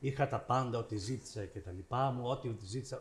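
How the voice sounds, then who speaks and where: A man speaks at medium pitch and a moderate pace, somewhat breathy, with ordinary pitch variation. The recording is very clean, with a silent background. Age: 70s. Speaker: visual artist, panelist. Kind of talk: public panel discussion.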